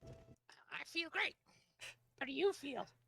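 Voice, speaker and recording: A whispered, put-on character voice. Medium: actual play. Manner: blunt, curt.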